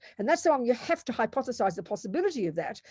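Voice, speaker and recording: A woman with an Australian accent talks at a very fast pace in a fairly high pitch with very wide pitch swings and a dark, mellow tone, in a very clean recording with a silent background. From Australia, Melbourne. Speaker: Buddhist nun and teacher. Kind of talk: lecture. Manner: loud, forceful; animated.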